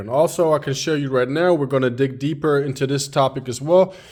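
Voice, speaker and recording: Speaking at a moderate pace in a German accent, the voice shows ordinary pitch variation. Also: man. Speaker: car mechanic. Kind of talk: tutorial. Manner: halting, with fillers.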